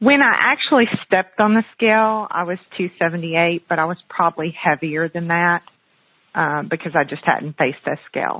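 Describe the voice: In a dry, close sound with no echo, a woman speaks at a fairly low pitch and moderate pace with ordinary pitch variation.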